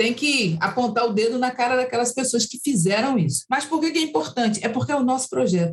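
A woman's high-pitched voice moves fairly quickly, its intonation lively. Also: hardly any pauses. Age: 60s. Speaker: activist and human rights director. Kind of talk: interview.

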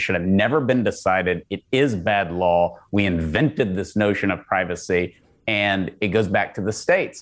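A man with an American accent at a moderate pace, in a very clean recording with a silent background. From Texas. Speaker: pro-life organization leader. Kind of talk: podcast interview.

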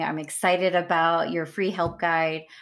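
The recording is very clean, with a silent background. A woman with an ordinary speaking voice and a fairly low pitch talks at a moderate pace. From US South, East Texas. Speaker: podcast host. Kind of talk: casual interview.

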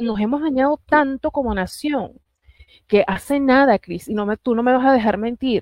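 At a moderate pace and with ordinary pitch variation, a woman speaks in a plain, everyday voice. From Puerto Rico. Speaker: political analyst. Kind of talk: political talk show interview.

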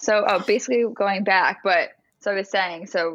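A woman talks at a moderate pace and medium pitch with ordinary pitch variation, in an ordinary speaking voice. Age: 20s. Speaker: artist and business founder. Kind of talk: casual interview.

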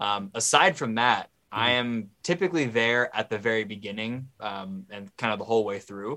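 A man with an American accent speaks in a bright, sharp tone with ordinary pitch variation. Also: medium pitch for a man, moderate pace, very clean recording, silent background. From US Pacific Northwest, Seattle. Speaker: musician in a band. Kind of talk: casual interview.

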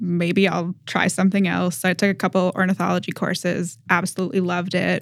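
Against a silent background on a very clean recording, a woman with an American accent talks at a fairly quick pace with hardly any pauses, a fairly low pitch, vocal fry and monotone, flat intonation. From Massachusetts, New England. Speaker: graduate student researcher. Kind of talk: interview about her research.

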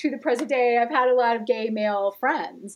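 Her pitch is high and her intonation fairly even. The woman keeps a moderate pace. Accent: American. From US Midwest (Gary, Indiana). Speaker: author and TV writer. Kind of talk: casual chat.

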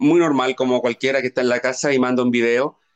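A man's medium-pitched voice with a dry, close sound and no echo. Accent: Chilean. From Chile, outside Santiago. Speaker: singer-songwriter. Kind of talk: interview.

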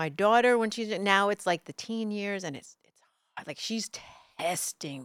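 A woman with an American accent speaks at a moderate pace and medium pitch, with ordinary pitch variation. Her loudness swings widely in a dry, close recording with no echo. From New York City (Brooklyn), later New Jersey. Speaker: TV news anchor. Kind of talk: casual interview chat. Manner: bubbly.

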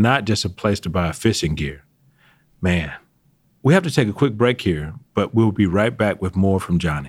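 A man with a plain, everyday voice and an American accent, fairly low in pitch, at a moderate pace on a very clean recording with a silent background. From Atlanta, Georgia, US. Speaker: podcast co-host, retired army general. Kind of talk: interview.

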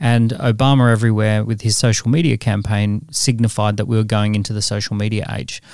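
A man talks at a fairly quick pace with an Australian accent. The recording is very clean, with a silent background and a dry, close sound with no echo. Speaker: entrepreneur and author. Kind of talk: interview.

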